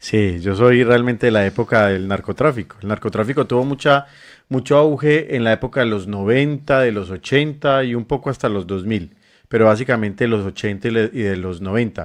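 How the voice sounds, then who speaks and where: Speaking in an unremarkable speaking voice, a man keeps a fairly quick pace at a medium pitch with ordinary pitch variation against a quiet background. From Colombia, Medellín. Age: 40s. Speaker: NGO director and health worker. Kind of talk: interview.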